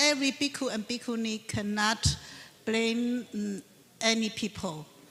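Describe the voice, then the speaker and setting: A woman talks fairly slowly, her voice pitched fairly high. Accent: non-native. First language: not English. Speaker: Buddhist nun, conference panelist. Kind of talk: panel Q&A answer. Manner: halting, many hesitations.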